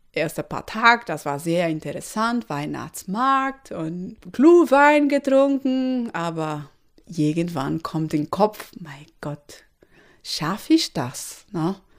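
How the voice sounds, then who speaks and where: A woman with a Portuguese accent speaks at a very slow pace, her pitch swinging very widely. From Brazil, Recife. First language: Portuguese (speaking German). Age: 30s. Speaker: electrical engineer. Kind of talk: interview. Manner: non-native, halting German.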